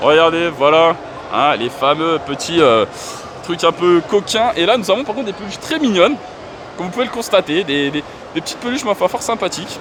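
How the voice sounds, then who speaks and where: A man talks at a fairly quick pace in a high pitch, with an animated tone and very wide pitch swings. Long pauses come often, over noticeable background noise. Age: 30s. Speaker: gaming YouTuber. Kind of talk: vlog walkthrough. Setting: gaming convention hall.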